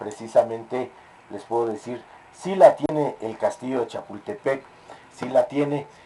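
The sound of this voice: In a fairly slow delivery, a man speaks at medium pitch with a dark, mellow tone, and audible room echo is present.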